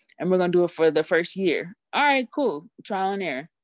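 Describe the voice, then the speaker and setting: In a dry, close sound with no echo and a quiet background, a woman talks at a fairly low pitch and a moderate pace. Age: 30s. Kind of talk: interview, personal story. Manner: upbeat, cheerful.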